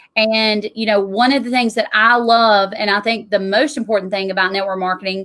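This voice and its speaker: Speaking in a Southern US accent, a woman with a fairly high pitch uses fairly even intonation in a bright, sharp tone. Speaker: tax strategist. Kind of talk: interview.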